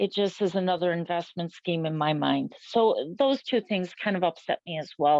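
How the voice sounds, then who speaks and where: An ordinary speaking voice moves at a fairly slow pace. Its pitch varies in an ordinary way. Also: woman. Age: 60s. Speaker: local resident. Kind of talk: interview.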